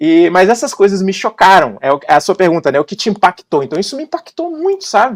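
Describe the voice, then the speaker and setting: A man talks in a high, animated voice with a Bahian accent. His pitch swings very widely, and the sound is dry and close with no echo. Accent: Brazilian Portuguese, Bahian. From Brazil, Salvador (Bahia). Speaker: advertising copywriter. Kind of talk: podcast interview. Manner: casual, animated.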